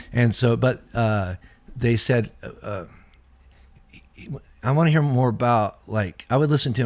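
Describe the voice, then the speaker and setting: A man's medium-pitched voice at a fairly quick pace, in a very clean recording with a silent background. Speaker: pastor. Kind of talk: casual chat. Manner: fast.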